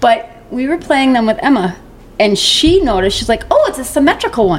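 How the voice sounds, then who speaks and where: A woman with a high pitch and very wide pitch swings, at a fairly quick pace, over noticeable background noise. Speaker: podcast guest, mother of the host. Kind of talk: casual chat. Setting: home recording.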